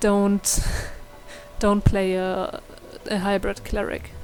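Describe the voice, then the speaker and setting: A woman with a non-native accent, talking at a very slow pace. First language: not English. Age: young. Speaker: gaming youtuber. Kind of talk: tutorial; casual chat. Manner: hesitant, many fillers.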